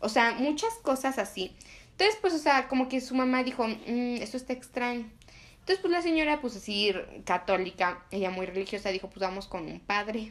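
A woman talks in a high pitch with lively intonation. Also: moderate pace. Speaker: podcast host. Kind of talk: casual chat.

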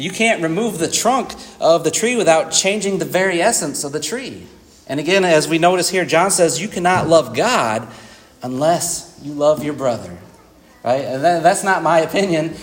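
A man with a high voice speaks at a moderate pace with lively intonation, over noticeable background noise and audible room echo. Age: 40s. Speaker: preacher. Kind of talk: sermon. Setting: church.

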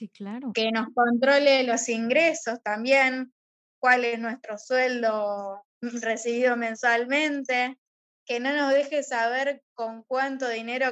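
The woman's pitch is high, with fairly even intonation. She talks at a very slow pace. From Argentina. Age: 30s. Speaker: teacher and gender violence advocate. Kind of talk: interview.

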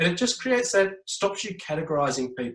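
A man talks with an Australian accent. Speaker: education speaker and former teacher. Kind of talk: interview.

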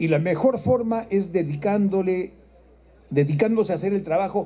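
Here a man's voice is high-pitched, with a dark, mellow tone. He keeps a moderate pace and lively intonation. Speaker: president of parliament. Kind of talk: formal speech.

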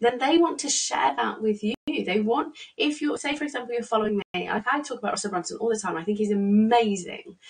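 A fairly high-pitched woman's voice with an English accent, moderately paced. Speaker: psychologist and business coach. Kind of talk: solo business tutorial. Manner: casual, hesitant with fillers.

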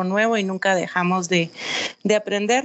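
Speaking at a fairly slow pace, a woman with a normal speaking voice keeps a medium pitch and fairly even intonation. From Guatemala. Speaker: executive producer. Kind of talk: podcast interview.

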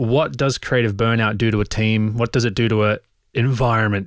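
Speaking at a fairly quick pace, a man with an Australian accent uses a fairly low pitch and fairly even intonation. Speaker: podcast co-host, creative professional. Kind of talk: casual chat. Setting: remote call.

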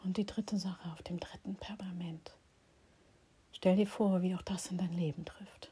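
A woman's gentle, calm tone at medium pitch, in a monotone, flat delivery with long, frequent pauses and big swings in loudness. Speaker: meditation guide and healing practitioner. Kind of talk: guided meditation. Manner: slow, soft, calm and soothing; gentle, pausing, dreamy, intimate pacing.

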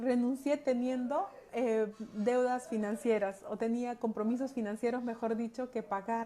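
Noticeable background noise sits behind a woman with a high voice. She speaks at a fairly slow pace with fairly even intonation. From Peru, Andahuaylas (Apurímac). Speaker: holistic coach. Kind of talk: personal testimony talk. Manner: hesitant, many fillers.

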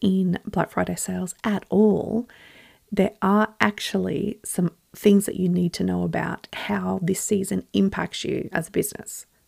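A woman speaks in an Australian accent. Her pace is fairly slow. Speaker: business podcast host. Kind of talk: solo podcast talk.

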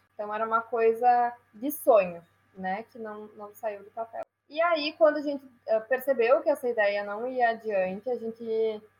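Fairly high in pitch, a woman with an unremarkable speaking voice talks at a fairly slow pace with ordinary pitch variation and big swings in loudness. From Brazil, Rio Grande do Sul (Passo Fundo). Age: 20s. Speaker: entrepreneur. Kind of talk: interview.

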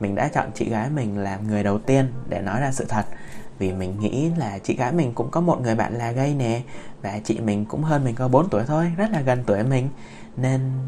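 A man's gentle tone at a medium pitch, fairly quick pace and ordinary pitch variation. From Vietnam. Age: 20s. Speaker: podcaster. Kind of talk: personal storytelling monologue. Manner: halting, many fillers.

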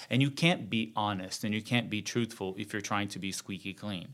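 The recording is very clean, with a silent background. A man with a Brazilian accent speaks at a moderate pace and fairly low pitch, with ordinary pitch variation. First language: Portuguese. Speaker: journalist and TV presenter. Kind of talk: casual interview conversation.

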